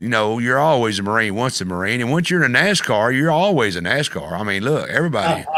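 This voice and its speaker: A man with a Southern US accent talks at a very fast pace with hardly any pauses, his pitch medium. Very wide pitch swings run through his speech, and audible room echo is present. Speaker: talk show host. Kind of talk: casual interview. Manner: loud.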